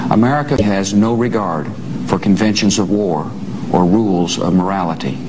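A man with a fairly low pitch talks with ordinary pitch variation over noticeable background noise. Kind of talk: formal televised address. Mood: grave, solemn. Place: office.

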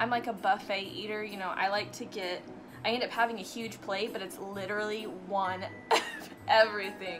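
Music is clearly audible in the background. Over it comes a woman's voice. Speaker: fitness vlogger. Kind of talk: casual vlog chat. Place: home room.

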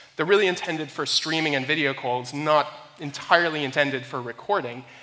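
A man speaks at a fairly quick pace. His tone is bright and sharp.

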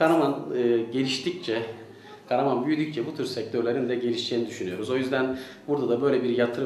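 A man talks at a very fast pace with fairly even intonation, with light background noise and audible room echo in the recording. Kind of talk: interview answer. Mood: pleased, promotional. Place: shop.

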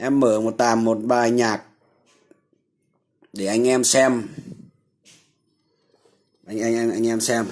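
A man with a slightly mellow tone speaks slowly and with fairly even intonation, leaving long, frequent pauses. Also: medium pitch for a man.

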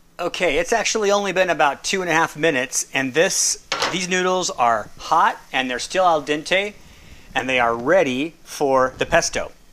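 Light background noise runs under a man speaking at a moderate pace in a high pitch with ordinary pitch variation. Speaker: home cook demonstrating a recipe. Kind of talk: tutorial. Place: kitchen.

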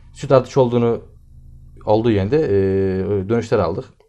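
Male voice with ordinary pitch variation over faint background music. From Turkey. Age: 20s. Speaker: agricultural engineer and farm supply dealer. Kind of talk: interview. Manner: hesitant, many filler sounds. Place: office. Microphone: camera far.

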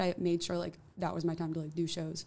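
A woman's fairly low-pitched voice at a very fast pace. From New Jersey. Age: 20s. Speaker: musician; guest. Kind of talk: casual interview. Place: studio. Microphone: studio mic.

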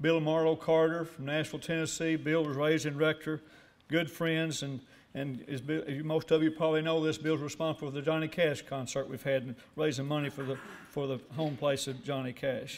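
A man with an American accent and a fairly high pitch speaks at a fairly quick pace in monotone, flat intonation. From US South, northeast Arkansas. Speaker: award recipient, businessman. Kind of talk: acceptance speech. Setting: breakfast banquet with audience. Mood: warm, grateful. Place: hall. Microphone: podium.

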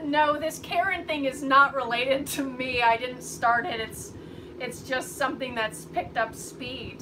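A woman speaks at a high pitch with lively intonation and a fairly slow pace. Background noise is clearly audible.

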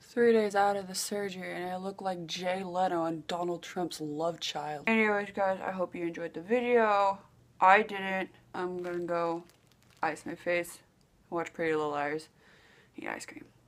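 A woman mumbles at a moderate pace with ordinary pitch variation. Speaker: vlogger. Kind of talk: casual vlog chat. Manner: swollen-jawed, sore, mumbling speech. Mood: glum, self-mocking. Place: home room. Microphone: webcam.

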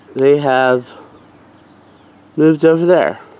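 A man at a very slow pace, fairly even in intonation, in a dry sound with no echo. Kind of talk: casual vlog chat. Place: street. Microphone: phone near.

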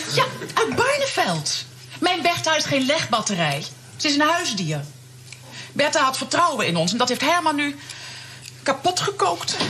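With noticeable background noise, a woman keeps a moderate pace and very even loudness, leaving long, frequent pauses. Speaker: sitcom actress playing neighbour. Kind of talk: scripted sitcom dialogue. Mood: indignant, upset about her hen. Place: studio.

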